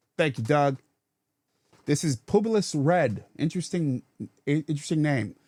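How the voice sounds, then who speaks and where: At a moderate pace, a man with an American accent speaks at a fairly high pitch with lively intonation and long, frequent pauses, in a dry, close sound with no echo. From Rochester, New York (US Northeast). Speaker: political commentary show host. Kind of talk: call-in commentary, reading listener messages. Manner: halting, many repetitions and fillers.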